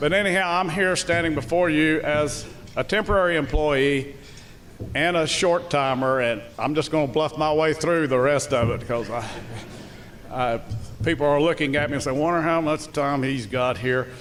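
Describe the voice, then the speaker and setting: A man with a Southern US accent and a fairly high pitch talks at a moderate pace with ordinary pitch variation over noticeable background noise. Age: 70s. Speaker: school superintendent. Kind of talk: public speech. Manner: halting.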